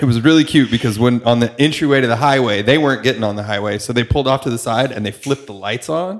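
Speaking at a very fast pace with an American accent, the voice runs on with hardly any pauses. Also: man, medium pitch for a man, ordinary pitch variation. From New York. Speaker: podcast host and tour photographer. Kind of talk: casual chat. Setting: studio.

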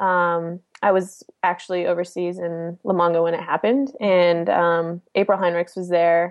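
A woman with an American accent, a fairly low pitch, fairly even intonation, a moderate pace and hardly any pauses. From Chicago, US Midwest. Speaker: professional soccer player. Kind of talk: interview, casual chat. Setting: remote call from home.

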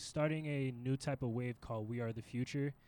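A soft-spoken man talks at a medium pitch with fairly even intonation. The recording is very clean, its background silent. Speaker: studio guest. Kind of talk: casual chat. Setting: radio studio.

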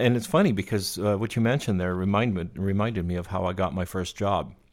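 A man's pitch varies in an ordinary way. The recording is very clean, with a silent background. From Quebec. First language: French. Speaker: podcast host, lighting technician. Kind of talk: casual interview.

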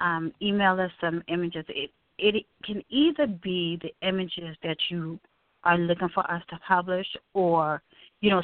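Speaking at a fairly slow pace with an American accent, a woman has a plain, everyday voice, fairly low pitch and fairly even intonation. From Brooklyn, New York. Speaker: magazine editor and event producer. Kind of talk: interview.

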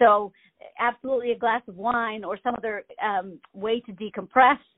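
An unremarkable speaking voice from a woman with an American accent, fairly high in pitch, fairly even in intonation, at a moderate pace. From Maine, US. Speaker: theater director. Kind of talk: interview. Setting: phone call.

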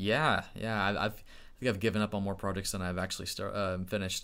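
The voice has a bright, sharp tone and moves at a very fast pace. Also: man. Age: 30s. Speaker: tech YouTuber teaching IT. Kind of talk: live stream tutorial. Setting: live stream from home computer. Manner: animated.

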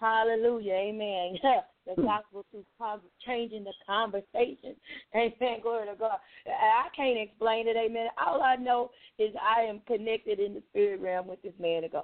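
Fairly high-pitched woman in a plain, everyday voice at a moderate pace, with big swings in loudness. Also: ordinary pitch variation. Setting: radio broadcast.

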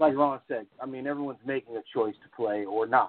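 At a moderate pace, a man with an American accent uses a normal speaking voice and fairly even intonation. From Las Vegas, Nevada. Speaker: softball facility operator. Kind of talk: casual chat.

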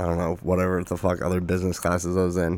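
A man talks with an American accent and a very deep, low pitch. His intonation stays monotone and flat. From Arizona. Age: 20s. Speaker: podcast host. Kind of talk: casual chat.

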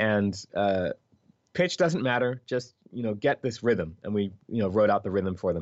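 The speaker has a Philadelphia accent and ordinary pitch variation. The pace is moderate. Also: man, fairly low pitch for a man. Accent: American, Philadelphia. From US Northeast, Philadelphia. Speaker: video game composer. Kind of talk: interview. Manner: animated.

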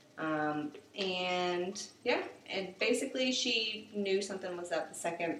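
Speaking with an American accent at a moderate pace, a woman uses a medium pitch with big swings in loudness. Audible room echo and noticeable background noise fill the recording. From South Carolina, Summerville near Charleston. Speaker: animal clinic worker. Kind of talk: casual chat.

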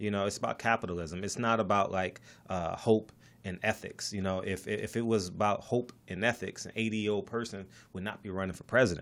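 A man with an ordinary speaking voice, fairly low pitch and ordinary pitch variation at a fairly quick pace, in a very clean recording with a silent background. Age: 40s. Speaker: real estate investor and podcaster. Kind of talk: casual interview. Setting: studio.

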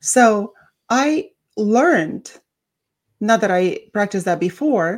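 With a non-native accent, a woman speaks at a medium pitch, her intonation lively. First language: not English. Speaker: podcast co-host, academic with doctorate. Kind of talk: casual chat. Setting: radio studio.

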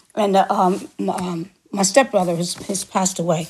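Fairly quick delivery in an American accent, somewhat breathy, with ordinary pitch variation. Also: woman. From New York City. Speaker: singer and actor. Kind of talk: interview.

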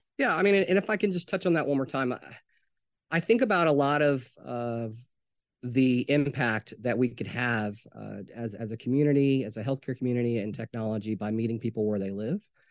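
With an American accent, a man speaks in a normal speaking voice at medium pitch, fairly quickly, with lively intonation. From US South, Arkansas. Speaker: healthcare technology executive. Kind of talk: interview. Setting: remote interview.

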